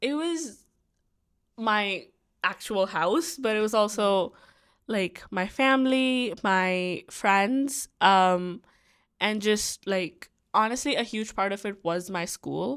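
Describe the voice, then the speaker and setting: A woman with an Indian accent speaks at a very slow pace, fairly high in pitch for a woman, with lively intonation. The recording is very clean, with a silent background. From India, Delhi. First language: Hindi. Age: young. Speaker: university student. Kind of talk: casual chat. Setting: student dorm room.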